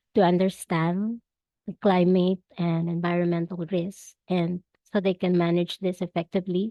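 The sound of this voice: A woman's husky voice, fairly low in pitch, with a dark, mellow tone, little pitch movement, a moderate pace and a dry, close sound with no echo.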